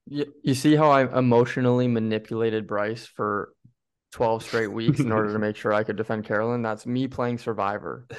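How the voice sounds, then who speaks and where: In an American accent, the speaker keeps a moderate pace and fairly even intonation against a quiet background. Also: man, medium pitch for a man. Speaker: podcast co-host. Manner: casual, joking.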